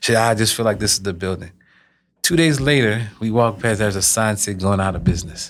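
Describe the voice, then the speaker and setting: Over a silent background in a very clean recording, a man talks at a very fast pace with a fairly low pitch and ordinary pitch variation. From Louisiana, Lafayette. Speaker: health company founder. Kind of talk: interview.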